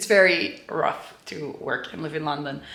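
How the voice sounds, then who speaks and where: Against noticeable background noise and audible room echo, a woman with a Dutch accent talks at a moderate pace. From Belgium. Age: 20s. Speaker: vlogger. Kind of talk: casual vlog talk.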